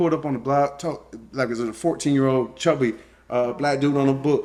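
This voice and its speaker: At a very fast pace, a man with a South Louisiana accent speaks at a medium pitch. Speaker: co-host, husband of the channel owner. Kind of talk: casual chat. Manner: halting.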